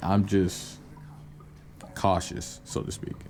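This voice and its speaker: Music plays in the background. A man is speaking. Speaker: gaming YouTuber and music maker. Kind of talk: casual channel intro monologue. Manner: hesitant, many fillers; laid back.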